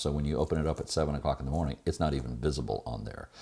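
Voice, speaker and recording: A man speaks with vocal fry on a very clean recording against a silent background. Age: 60s. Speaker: sailing vlogger. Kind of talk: casual vlog talk to camera.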